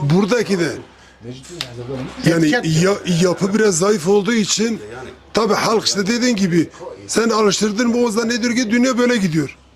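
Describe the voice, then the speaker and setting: With noticeable background noise behind him, a high-pitched man talks at a moderate pace, keeping very even loudness and ordinary pitch variation, with long, frequent pauses. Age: 60s. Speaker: emigrant worker returning home. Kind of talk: casual group conversation.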